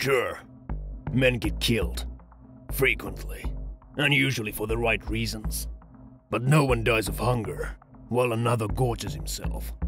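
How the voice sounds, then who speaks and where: A man performs in a put-on character voice, with clear music in the background. He leaves long, frequent pauses. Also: moderate pace. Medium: dub.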